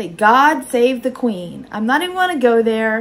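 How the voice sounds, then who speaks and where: A normal speaking voice moves at a moderate pace, with ordinary pitch variation. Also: woman. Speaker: online clothing reseller. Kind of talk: unboxing haul video. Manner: casual, chatty.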